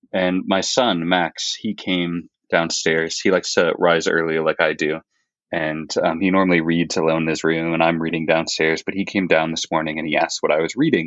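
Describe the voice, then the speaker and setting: A man with a very deep, low voice speaks at a moderate pace in a flat monotone. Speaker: academic guest on Dante. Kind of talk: casual scholarly discussion.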